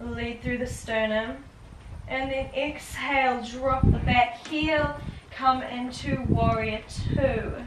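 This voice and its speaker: A woman with a high pitch speaks very slowly amid noticeable background noise and audible room echo. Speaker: yoga teacher. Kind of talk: guided yoga class.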